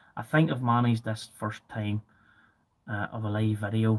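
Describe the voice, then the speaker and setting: Monotone, flat intonation marks this man's speech. His pitch is fairly low and his pace moderate. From Northern Ireland, Ballymena. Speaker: farm machinery video channel host. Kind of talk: live video chat answering viewer comments. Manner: hesitant, many fillers and repetitions.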